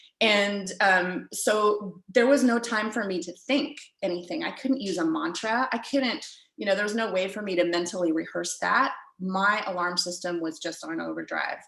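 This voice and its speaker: At a moderate pace, a woman speaks with ordinary pitch variation over audible room echo. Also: medium pitch for a woman. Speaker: riding coach. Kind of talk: lecture. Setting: video call.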